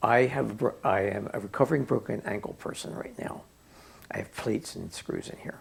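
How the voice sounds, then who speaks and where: A man's medium-pitched voice with vocal fry. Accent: American. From Pennsylvania, suburban Philadelphia. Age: 70s. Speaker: oral history interviewee. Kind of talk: oral history interview. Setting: at home.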